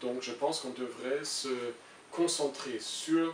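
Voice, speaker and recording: A man speaks very slowly in a German accent with fairly even intonation, over noticeable background noise and audible room echo. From Germany. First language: German (speaking French). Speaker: international civil servant. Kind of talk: interview. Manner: halting, many hesitations.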